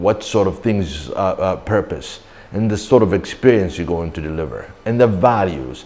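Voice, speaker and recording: A man's voice with vocal fry and ordinary pitch variation at a moderate pace, in audible room echo. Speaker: branding consultant. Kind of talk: lecture. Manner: loud; animated.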